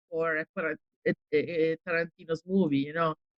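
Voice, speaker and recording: The sound is dry and close with no echo as a woman with an Italian accent talks at a moderate pace. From Italy. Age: 40s. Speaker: actress. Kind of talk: interview. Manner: hesitant, many fillers.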